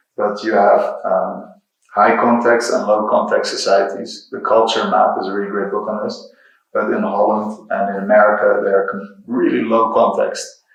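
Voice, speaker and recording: Audible room echo fills the space around a man with a Dutch accent. He speaks at a moderate pace. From Netherlands, Rotterdam. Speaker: software engineer and creative technologist, guest lecturer. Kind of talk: lecture.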